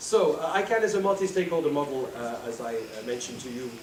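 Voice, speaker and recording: A man's voice with very wide pitch swings, plus audible room echo and noticeable background noise. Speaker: conference speaker. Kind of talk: conference presentation. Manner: fast.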